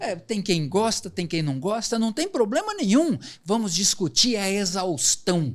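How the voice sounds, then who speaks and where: A high-pitched man with very wide pitch swings. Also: fairly slow pace. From Londrina, Paraná, southern Brazil. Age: 60s. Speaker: economist and professor. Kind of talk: podcast interview.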